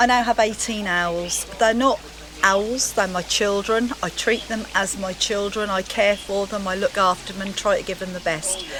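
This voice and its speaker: A woman speaks at a moderate pace with fairly even intonation. Background noise is noticeable. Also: medium pitch for a woman. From Norfolk, England. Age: 60s. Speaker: owl keeper. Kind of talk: casual interview.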